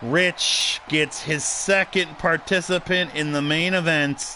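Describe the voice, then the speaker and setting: This man talks with noticeable background noise running throughout. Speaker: wrestling podcast host and commentator. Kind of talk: live commentary of simulated wrestling. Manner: loud; animated.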